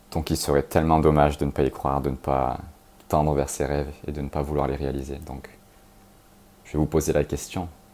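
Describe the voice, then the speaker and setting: A man with a very deep, low, dark and mellow voice and vocal fry speaks in a flat monotone at a fairly quick pace, with long, frequent pauses. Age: 30s. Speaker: podcast host. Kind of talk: motivational monologue.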